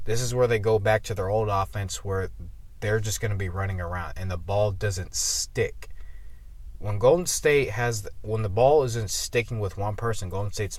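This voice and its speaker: A man's fairly low, somewhat breathy voice at a moderate pace, with ordinary pitch variation. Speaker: sports commentator. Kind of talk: casual video commentary. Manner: halting with stutters.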